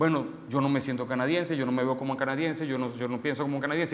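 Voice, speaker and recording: Very fast speech from a man in a room with audible echo. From Venezuela. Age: 30s. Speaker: preacher. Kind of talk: sermon.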